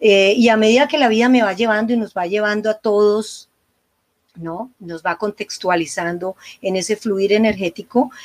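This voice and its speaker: A woman with a plain, everyday voice speaks at a moderate pace in a medium pitch with ordinary pitch variation, and the sound is dry and close with no echo. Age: 60s. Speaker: psychologist and couples therapist. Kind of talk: interview conversation.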